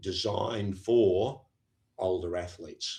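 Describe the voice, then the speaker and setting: A man talks with an Australian accent and a somewhat breathy voice. The background is quiet. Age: 70s. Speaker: professor of sport science. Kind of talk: podcast interview. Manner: halting, with frequent fillers and repeats.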